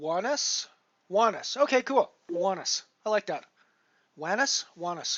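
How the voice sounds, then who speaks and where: A man with a high pitch and lively intonation speaks at a fairly slow pace, pausing long and often. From Canada. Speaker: poker streamer. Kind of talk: casual live-stream chat. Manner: halting, many fillers.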